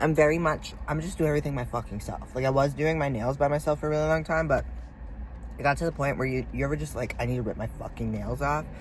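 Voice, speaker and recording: A woman talks at a very fast pace. Room echo is audible. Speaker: fitness vlogger. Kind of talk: casual vlog. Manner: animated.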